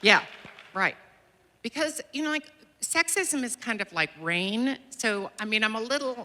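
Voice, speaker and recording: A woman with a high pitch speaks at a fairly slow pace, her pitch swinging very widely, with long, frequent pauses. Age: 60s. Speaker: panelist, women's rights advocate. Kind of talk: panel discussion.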